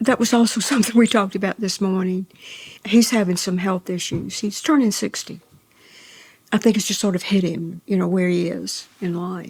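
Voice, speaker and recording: A woman in a Mississippi accent sounds somewhat breathy. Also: medium pitch for a woman, ordinary pitch variation, moderate pace. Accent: US Southern, Mississippi. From northern Mississippi. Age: 80s+. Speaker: novelist. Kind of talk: interview.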